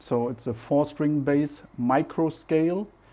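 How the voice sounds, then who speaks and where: In a German accent, a man with a dark, mellow tone speaks at a very slow pace with ordinary pitch variation. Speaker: amateur musician vlogger. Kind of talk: unboxing video, casual talk to camera.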